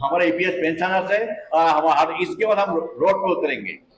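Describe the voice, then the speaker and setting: With noticeable noise behind him, a man's high-pitched voice moves along at a moderate pace. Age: 70s. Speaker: retired pensioner activist. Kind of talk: press conference statement. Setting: press conference. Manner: impassioned.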